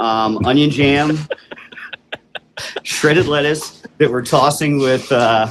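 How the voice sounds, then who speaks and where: At a very slow pace full of long, frequent pauses, a man speaks with a fairly high pitch and ordinary pitch variation. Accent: New Jersey. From New Jersey. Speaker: chef and restaurant owner. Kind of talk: radio interview.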